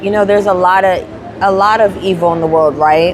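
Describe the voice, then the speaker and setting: With music playing in the background, a woman speaks in a room with audible echo. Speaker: handmade business owner and vlogger. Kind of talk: casual vlog talk. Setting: at a craft fair booth. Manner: animated, many repetitions and restarts.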